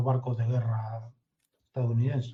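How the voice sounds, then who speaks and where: In a somewhat breathy voice with a dark, mellow tone, a man speaks at a medium pitch. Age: 60s. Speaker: intelligence consultant. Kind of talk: interview.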